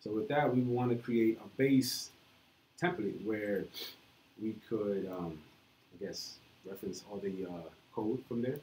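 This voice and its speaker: With an American accent, a man talks at a fairly slow pace and a fairly low pitch, leaving long, frequent pauses. His pitch variation is ordinary. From New York. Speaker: meetup presenter, programmer. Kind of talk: live coding talk. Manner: halting, many fillers.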